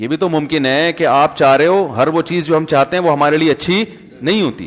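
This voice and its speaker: Here a man speaks in a normal speaking voice. His pitch is fairly high, with ordinary variation. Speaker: Islamic scholar giving a sermon. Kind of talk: religious sermon (bayan) with anecdotes. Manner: conversational, explanatory.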